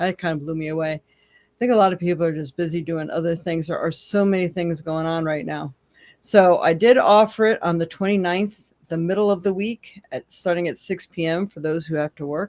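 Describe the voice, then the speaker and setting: A woman's fairly low voice, a normal speaking voice, with hardly any pauses, dry and close with no echo. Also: ordinary pitch variation, fairly quick pace. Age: 60s. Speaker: psychic tarot reader. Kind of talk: live stream casual talk. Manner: casual, chatty with fillers.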